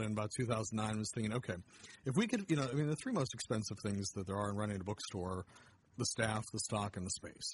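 In an American accent, a man with a medium pitch talks at a fairly quick pace, sounding somewhat breathy. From Pennsylvania (Erie). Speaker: literacy nonprofit director. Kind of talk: interview. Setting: bookstore. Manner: halting.

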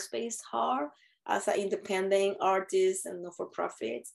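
A woman's medium-pitched voice with a Spanish accent, very wide pitch swings and a fairly slow pace. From Puerto Rico. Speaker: theater director. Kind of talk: interview. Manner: halting.

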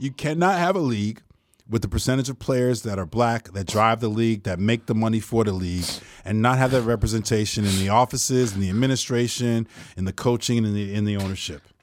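This man speaks very fast with an American accent, at a medium pitch and with ordinary pitch variation. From Newark, New Jersey. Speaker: academic and writer. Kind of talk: casual chat. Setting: studio.

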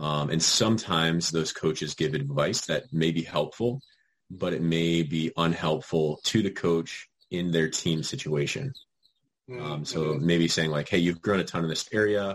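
An American accent marks this man's very deep, low voice. He talks at a fairly slow pace with ordinary pitch variation. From Virginia. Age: 20s. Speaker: soccer coach. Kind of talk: casual chat.

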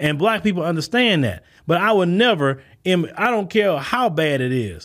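With an American accent, a man with a fairly high pitch speaks at a moderate pace in an animated tone and lively intonation. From United States. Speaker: podcast host, commentator. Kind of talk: monologue response video.

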